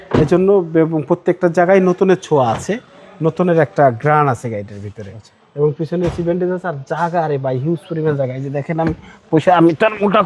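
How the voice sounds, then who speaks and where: A man's high-pitched voice, dry and close with no echo, over music in the background. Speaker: used car dealer. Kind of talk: sales pitch.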